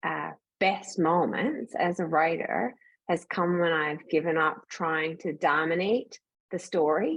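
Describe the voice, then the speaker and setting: Fairly low-pitched woman in a Newfoundland accent, at a fairly slow pace over a quiet background. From rural Atlantic Canada. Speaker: author. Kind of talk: panel discussion.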